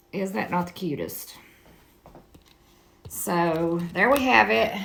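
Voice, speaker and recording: In a room with audible echo, a woman with a fairly low voice speaks very slowly, her pitch swinging very widely. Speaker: crafter selling handmade items. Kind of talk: tutorial. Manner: casual, chatty.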